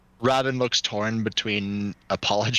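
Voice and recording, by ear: A passage is read aloud in a natural voice.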